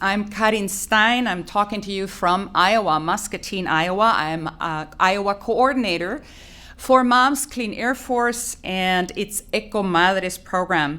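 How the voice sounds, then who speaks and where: A woman with a Spanish accent speaks at a medium pitch in a bright, sharp tone, with ordinary pitch variation, hardly any pauses, and audible room echo. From Colombia. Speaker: environmental advocacy coordinator. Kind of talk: press conference opening remarks. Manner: formal.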